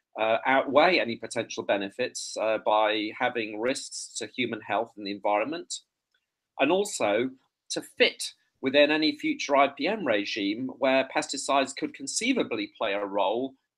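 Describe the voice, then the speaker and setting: This is a man with an English accent. He talks at a moderate pace. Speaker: entomology professor. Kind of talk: conference presentation. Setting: online video conference. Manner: hesitant, many fillers.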